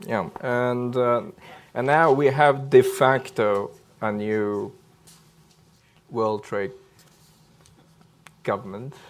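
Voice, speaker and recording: With a non-native accent, a man talks at a very slow pace with lively intonation and long, frequent pauses. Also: medium pitch for a man. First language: not English. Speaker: policy panelist. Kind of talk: panel discussion. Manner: hesitant, many fillers.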